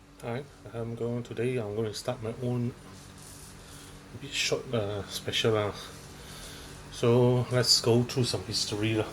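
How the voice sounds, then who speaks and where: A man mumbles at a fairly slow pace, his intonation monotone and flat. Long, frequent pauses break up his speech, and there is noticeable background noise. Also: medium pitch for a man. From Malaysia. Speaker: stand-up comedian. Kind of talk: stand-up. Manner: mumbling; halting.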